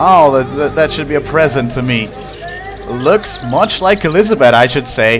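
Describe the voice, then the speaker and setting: Against music in the background, the speaker moves at a moderate pace with lively intonation. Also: man, fairly high pitch for a man. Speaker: let's play gamer commentator. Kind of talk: gameplay commentary. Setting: home room. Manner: animated. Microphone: slight echo in new room.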